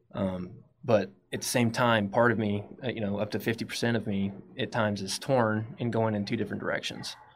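Speaking fairly quickly with fairly even intonation, a man talks in a West Texas accent. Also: fairly low pitch for a man. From West Texas (Midland). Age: 30s. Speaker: entrepreneur. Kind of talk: interview. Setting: studio.

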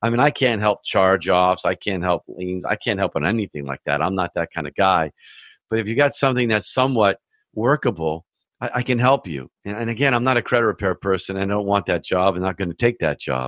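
Against a quiet background, a man with an unremarkable speaking voice and fairly low pitch talks at a fairly quick pace with lively intonation, the sound dry and close with no echo. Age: 50s. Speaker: mortgage broker and podcast host. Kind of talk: solo educational podcast monologue. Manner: casual, conversational.

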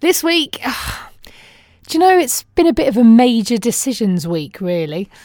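With a British accent, a woman speaks at a moderate pace in a dark, mellow tone with very wide pitch swings, on a very clean recording with a silent background. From England. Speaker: expat audio diarist. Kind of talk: personal audio diary monologue. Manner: chatty, often laughing.

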